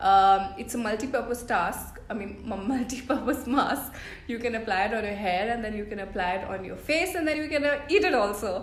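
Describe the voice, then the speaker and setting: Amid noticeable background noise and audible room echo, a woman with a fairly high pitch and lively intonation talks at a fairly quick pace with hardly any pauses. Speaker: beauty vlogger. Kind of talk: tutorial. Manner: casual, upbeat.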